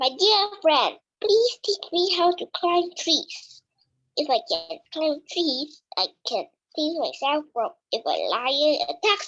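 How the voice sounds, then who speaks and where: A squeaky, put-on character voice from a woman, pitched extremely high, at a fairly slow pace. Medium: read story.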